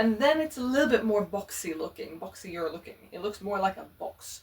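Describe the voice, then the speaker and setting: Speaking at a moderate pace, a woman with a non-native accent uses lively intonation at a fairly high pitch. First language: not English. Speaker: fashion vlogger. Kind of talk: casual chat.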